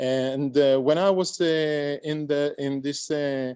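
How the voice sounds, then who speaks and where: A man speaks at a very slow pace with a dark, mellow tone. The background is quiet. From Israel. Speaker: visual artist. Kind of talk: discussion feedback at online symposium. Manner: halting, many fillers.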